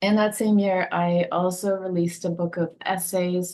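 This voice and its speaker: A woman speaks with a Dutch accent. Her pitch is medium, with ordinary variation. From Netherlands. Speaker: poet and essayist. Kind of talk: interview conversation. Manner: thoughtful, hesitant with fillers.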